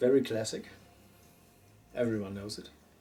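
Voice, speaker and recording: This man speaks with a German accent. Noticeable background noise is present. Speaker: mount repair technician. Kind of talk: casual interview in workshop. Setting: workshop.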